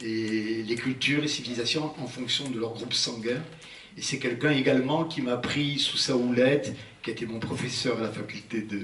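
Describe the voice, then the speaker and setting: A man at medium pitch with ordinary pitch variation and a moderate pace, with audible room echo and noticeable background noise. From Algeria. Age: 70s. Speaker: physician and prehistory researcher, lecturer. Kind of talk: public lecture. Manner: halting, with frequent hesitations.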